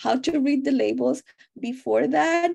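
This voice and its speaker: Talking at a fairly slow pace, a woman speaks with a Spanish accent. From Mexico. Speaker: dental public health researcher and instructor. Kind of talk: interview.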